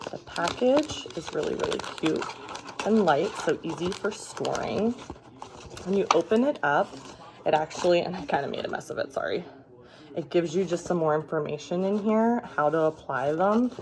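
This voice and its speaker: A woman with a fairly low pitch speaks quietly at a moderate pace, her intonation lively. Noticeable background noise runs underneath. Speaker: beauty vlogger. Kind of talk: product tutorial. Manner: quiet, talking low.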